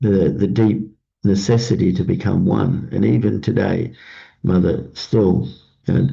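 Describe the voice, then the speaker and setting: This man speaks at a fairly slow pace in a fairly low pitch, his tone dark and mellow with vocal fry. His intonation is lively and his loudness very even. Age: 60s. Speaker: pastor. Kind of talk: morning devotion talk. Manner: halting with many fillers.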